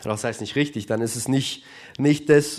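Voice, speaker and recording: A man speaks in a normal speaking voice at a moderate pace. His intonation stays fairly even. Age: 20s. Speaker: church youth leader. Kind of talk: sermon. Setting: church service with live audience and livestream.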